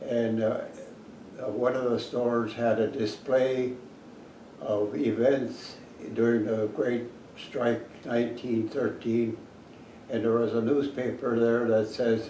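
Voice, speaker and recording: Amid noticeable background noise, a man speaks very slowly at medium pitch with monotone, flat intonation and long, frequent pauses. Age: 80s+. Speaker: retired academic. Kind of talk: interview answer.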